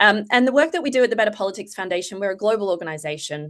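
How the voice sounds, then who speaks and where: Someone speaks with an Australian accent and lively intonation. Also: woman. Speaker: foundation executive and political psychologist. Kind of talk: panel presentation. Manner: hesitant, many fillers.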